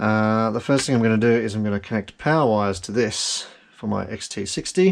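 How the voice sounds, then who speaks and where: Here is a man with an Australian accent and a fairly low pitch. His pitch varies in an ordinary way. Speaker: FPV drone hobbyist. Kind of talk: casual build tutorial talk to camera. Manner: slow; dry, rambling.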